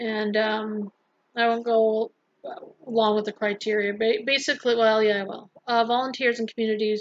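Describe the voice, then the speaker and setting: A soft-spoken woman with a fairly high pitch and monotone, flat intonation speaks at a moderate pace in a dry, close sound with no echo. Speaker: vlogger and health center worker. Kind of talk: casual vlog talk.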